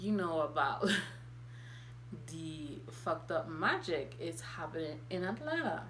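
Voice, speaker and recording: Audible room echo surrounds a woman speaking at a fairly slow pace. She leaves long, frequent pauses. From Haiti. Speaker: spiritual content creator. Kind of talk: vlog monologue.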